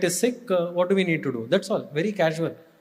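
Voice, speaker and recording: Speaking with an Indian accent, a man has a high pitch and ordinary pitch variation. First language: Kannada. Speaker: spiritual speaker, former student and staff. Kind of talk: devotional talk.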